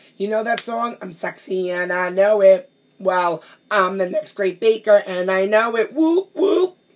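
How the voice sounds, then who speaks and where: A woman with a New York accent talks at a fairly slow pace in a medium-pitched, animated tone. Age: 30s. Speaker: pastry chef. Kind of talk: audition video monologue.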